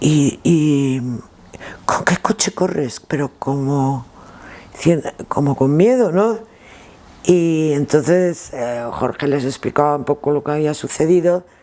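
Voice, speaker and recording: A woman's very deep, low voice at a very slow pace, with long, frequent pauses, ordinary pitch variation and noticeable background noise. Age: 60s. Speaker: former rally driver and co-driver. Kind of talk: interview, reminiscing. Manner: halting, with repetitions.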